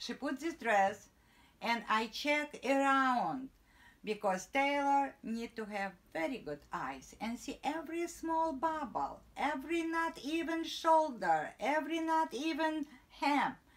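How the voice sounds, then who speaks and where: Speaking very slowly with a non-native accent, a woman uses a high pitch and lively intonation. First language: not English. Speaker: tailor and sewing teacher. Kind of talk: tutorial. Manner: halting broken English.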